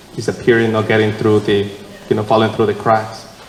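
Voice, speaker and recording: A man with a Mexican accent speaks at a fairly low pitch in monotone, flat intonation. Audible room echo and noticeable background noise are present. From Mexico (San Martin, Guadalajara). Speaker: city council candidate. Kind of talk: candidate forum answer. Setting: church hall with audience. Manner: halting, many fillers.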